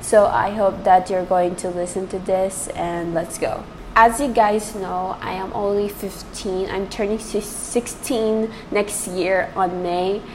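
A woman speaks at a very slow pace and medium pitch, with fairly even intonation and hardly any pauses, over noticeable background noise and audible room echo. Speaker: podcast host. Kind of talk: casual monologue.

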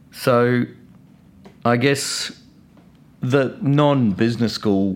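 A man with a New Zealand accent talks at a very slow pace. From New Zealand, Christchurch. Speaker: business owner. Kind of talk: interview.

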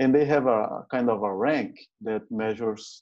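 A man with a Brazilian Portuguese accent, medium in pitch, at a moderate pace with fairly even intonation. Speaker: safety manager hosting interview. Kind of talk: casual interview conversation.

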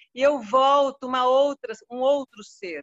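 A woman's high-pitched voice. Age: 70s. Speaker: dance student, guest's mother. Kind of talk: testimony.

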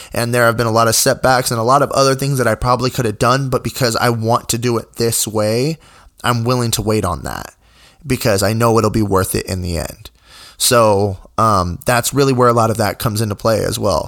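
On a very clean recording with a silent background, a man with an unremarkable speaking voice and medium pitch talks at a fairly quick pace with fairly even intonation. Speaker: podcast host and musician. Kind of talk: solo podcast monologue. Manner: casual, many filler words.

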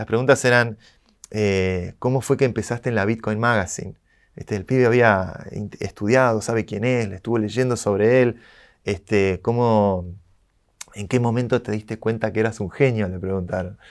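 In a very clean recording with a silent background, a man talks in a normal speaking voice at a moderate pace, fairly low in pitch with fairly even intonation. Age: 30s. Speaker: tech entrepreneur. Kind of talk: interview.

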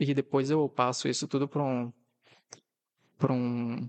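The background is quiet as a man talks. His voice sounds dry and close, free of echo. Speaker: podcast host. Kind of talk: casual solo monologue.

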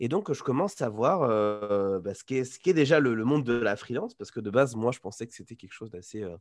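In a very clean recording with a silent background, a man at medium pitch speaks at a fairly quick pace with ordinary pitch variation. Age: 20s. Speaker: freelance developer and digital nomad. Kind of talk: casual interview. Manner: halting, many repetitions and fillers.

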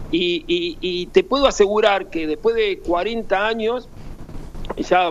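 Noticeable background noise runs under a high-pitched man whose intonation is lively. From Buenos Aires, Argentina. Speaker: former footballer. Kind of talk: interview. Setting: phone call. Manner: halting; cheerful.

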